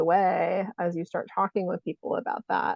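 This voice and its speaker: This woman has a plain, everyday voice, a medium pitch and a moderate pace. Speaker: psychotherapist and ADHD coach. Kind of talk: interview host questions.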